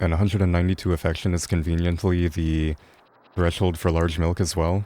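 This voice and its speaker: A man mumbles at a fairly quick pace in a very deep, low, dark and mellow voice. His intonation is monotone and flat, and his loudness stays very even. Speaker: video game speedrunner streamer. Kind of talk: live game commentary. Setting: live stream. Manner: mumbling, low energy.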